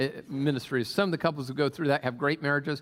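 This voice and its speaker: The speaker is male. His accent is American. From US Pacific Northwest (Tacoma, Washington). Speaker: pastor. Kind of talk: sermon. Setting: church. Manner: halting.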